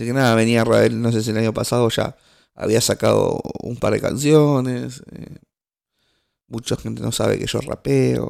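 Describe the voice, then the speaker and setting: With an Argentine accent, a man talks at a moderate pace. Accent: Rioplatense Argentine Spanish. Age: 20s. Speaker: podcast host. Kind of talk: casual solo monologue. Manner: halting, many fillers and restarts.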